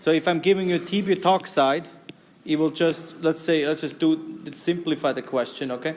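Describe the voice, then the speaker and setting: Over noticeable background noise, a man with a German accent speaks in a fairly high-pitched voice with fairly even intonation. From German-speaking Europe. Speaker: university chemistry lecturer. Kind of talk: lecture. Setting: classroom.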